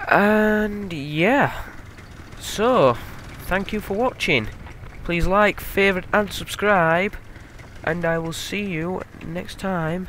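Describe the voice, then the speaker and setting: A man with a Yorkshire accent at a high pitch and very slow pace, with ordinary pitch variation, long, frequent pauses and noticeable background noise. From Yorkshire, northern England. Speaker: gaming video creator. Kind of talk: let's play commentary. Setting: recording at home at night. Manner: casual, with many fillers.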